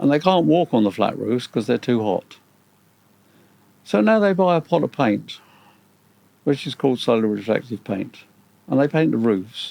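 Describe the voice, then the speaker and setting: Leaving long, frequent pauses, a man with a medium pitch and a dark, mellow tone makes very wide pitch swings in a dry, close sound with no echo. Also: moderate pace. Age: 70s. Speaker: retired engineer. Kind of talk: interview.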